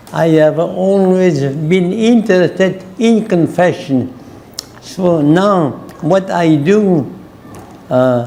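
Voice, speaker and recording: Speech comes at a very slow pace with ordinary pitch variation and very even loudness, alongside audible room echo and noticeable background noise. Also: man, high pitch for a man. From France/Germany. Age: 90s. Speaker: Jesuit priest and missionary. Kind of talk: interview. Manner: halting.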